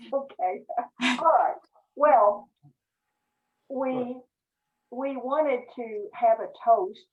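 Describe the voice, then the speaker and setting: Speaking at a very slow pace with long, frequent pauses, a woman uses a high pitch and lively intonation. Her loudness swings widely. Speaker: club president chairing meeting. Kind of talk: club meeting on video call. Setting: video call. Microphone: volume issues.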